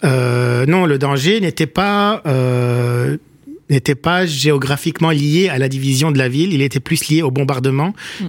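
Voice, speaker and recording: A man speaks at a fairly slow pace with a fairly high pitch and ordinary pitch variation, over noticeable background noise. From Lebanon, Beirut (Achrafieh). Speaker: writer and political scientist. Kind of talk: radio interview. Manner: halting, many hesitations.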